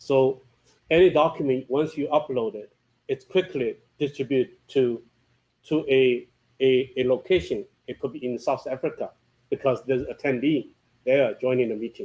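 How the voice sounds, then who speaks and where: Speaking at a moderate pace with long, frequent pauses, a man with a non-native accent has a fairly high pitch and ordinary pitch variation. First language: not English. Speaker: software company founder presenting product. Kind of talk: product presentation with Q&A. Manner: halting, repeats words.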